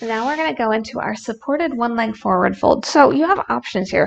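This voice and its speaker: A woman talks with very wide pitch swings. Music plays in the background. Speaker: yoga instructor and streamer. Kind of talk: guided yoga instruction, calm cues with playful jokes. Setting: live stream with chat. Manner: warm, playful, laughs at her own jokes. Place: home room.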